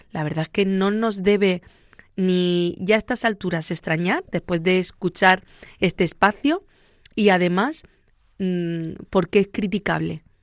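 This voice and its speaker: A woman with a Murcian accent speaks at a fairly slow pace in a dry, close sound with no echo, on a very clean recording with a silent background. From Spain, Murcia. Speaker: psychologist. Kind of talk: radio interview. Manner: fluent, conversational.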